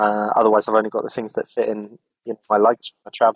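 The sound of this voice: Fast and flat, a man talks in a monotone with a fairly low pitch and a slightly husky edge, the sound dry and close with no echo.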